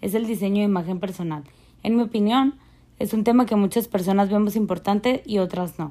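With a dark, mellow tone, a woman talks at a fairly quick pace, at a medium pitch with ordinary variation. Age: 20s. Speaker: fashion image design graduate. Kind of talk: prepared talk.

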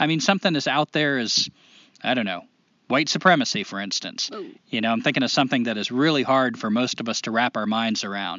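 Here a man speaks with an American accent at a medium pitch. His intonation is lively. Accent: southern drawl, shifts with surroundings. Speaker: podcast co-host. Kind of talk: casual conversational podcast discussion.

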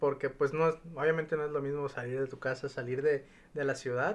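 This is a normal speaking voice with fairly even intonation. The background is quiet. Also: man. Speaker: podcast host. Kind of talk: casual chat.

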